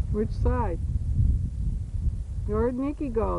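Over clearly noticeable background noise, the words come out very slowly. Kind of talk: casual home video narration. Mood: warm, amused, gentle. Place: open country. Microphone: old recording.

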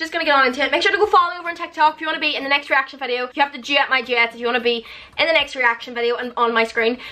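A woman speaks in a raised, projected voice at a high pitch. Her pace is very fast, with ordinary pitch variation. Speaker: social media creator. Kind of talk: casual vlog chat. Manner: loud. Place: home room. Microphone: phone near.

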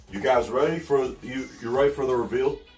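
A man's raspy, put-on character voice at a medium pitch, moderate pace, with music in the background. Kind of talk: casual unboxing commentary. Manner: cool, hyped-up.

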